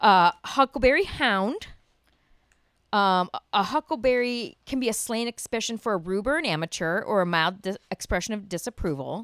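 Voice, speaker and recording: A woman with a normal speaking voice talks at a moderate pace with an American accent and lively intonation. The sound is dry and close, with no echo. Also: fairly high pitch for a woman, very clean recording, silent background. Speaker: podcast co-host. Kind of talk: casual chat.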